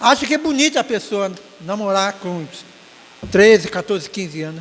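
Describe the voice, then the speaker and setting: A man with lively intonation at a moderate pace. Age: 60s. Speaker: church elder giving closing remarks at Sunday school. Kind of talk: Sunday school exhortation. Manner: halting, with frequent self-corrections.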